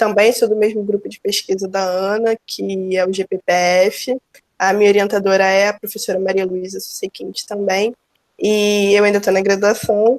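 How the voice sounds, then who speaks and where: Dry and close with no echo, a woman's medium-pitched voice moves at a moderate pace with monotone, flat intonation. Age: 20s. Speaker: undergraduate student, co-presenter. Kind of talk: online mini-course presentation.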